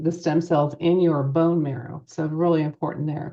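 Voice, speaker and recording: At a moderate pace, a woman speaks in a plain, everyday voice with a fairly low pitch. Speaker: nurse practitioner. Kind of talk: presentation.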